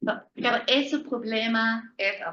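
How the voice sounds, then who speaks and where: With audible room echo, a woman at a fairly high pitch speaks very slowly in a bright, sharp tone with lively intonation. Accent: German. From Germany. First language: German (speaking Spanish). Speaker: law professor. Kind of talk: lecture. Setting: lecture hall with live and online audience. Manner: halting.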